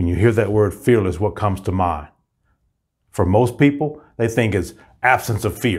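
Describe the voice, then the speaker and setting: Against a quiet background, a somewhat breathy man with a fairly low pitch and ordinary pitch variation speaks at a moderate pace with long, frequent pauses. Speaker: motivational coach. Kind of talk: motivational pep talk and promo. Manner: energetic, upbeat, rallying; emphatic, declarative, inspirational. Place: studio. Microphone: lapel.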